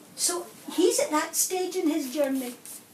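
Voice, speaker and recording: A woman speaks with a Scottish accent and ordinary pitch variation, and audible room echo surrounds her voice. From Scotland, Glasgow. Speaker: nun and schools inspector. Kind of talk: interview answers to school children. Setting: primary school classroom. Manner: animated.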